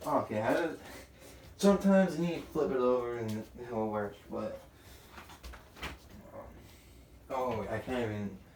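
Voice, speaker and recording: Over noticeable background noise and audible room echo, a man with a medium pitch talks at a moderate pace, using lively intonation and long, frequent pauses. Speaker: tech tutorial youtuber. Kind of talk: casual tutorial. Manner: halting, many fillers.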